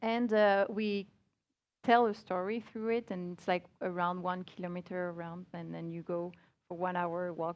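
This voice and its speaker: A woman speaks at a medium pitch with a French accent. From France. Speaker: multimedia creative director. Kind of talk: conference talk. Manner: halting.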